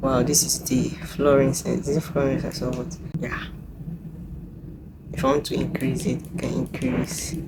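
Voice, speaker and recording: A woman with a very deep, low pitch speaks at a moderate pace, leaving long, frequent pauses. Room echo is audible, and background noise is noticeable. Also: ordinary pitch variation. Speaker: content creator. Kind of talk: unboxing tutorial. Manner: halting.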